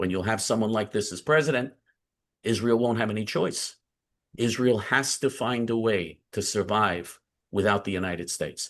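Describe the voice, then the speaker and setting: Over a quiet background, a man at fairly low pitch speaks at a moderate pace in a plain, everyday voice with ordinary pitch variation. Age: 60s. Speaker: community activist. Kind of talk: interview.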